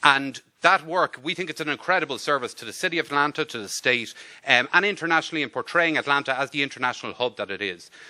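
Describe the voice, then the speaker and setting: With an Irish accent, a man talks at a very fast pace in a fairly high, bright, sharp tone. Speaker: diplomat. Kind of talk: formal speech. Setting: luncheon event with audience.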